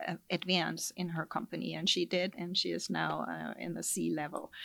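A German accent comes through in a very clean recording with a silent background. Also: woman. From Germany. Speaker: life sciences industry executive. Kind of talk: interview. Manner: many filler sounds.

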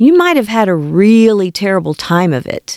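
The sound is dry and close, with no echo. A woman speaks at a medium pitch and a fairly slow pace. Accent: American. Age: 60s. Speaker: podcast host. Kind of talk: scripted narration.

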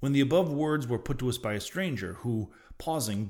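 This is an unforced reading voice. It is heard throughout the clip.

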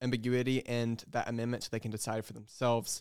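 A medium-pitched man with an American accent, recorded dry and close with no echo, very clean against a silent background. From North Carolina. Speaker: college student and youth program director. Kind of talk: podcast interview.

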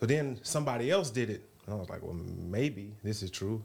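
A man with a plain, everyday voice speaks at a fairly quick pace and a fairly low pitch, with ordinary pitch variation. The recording is very clean, with a silent background. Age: 30s. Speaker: reality TV contestant. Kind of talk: casual chat.

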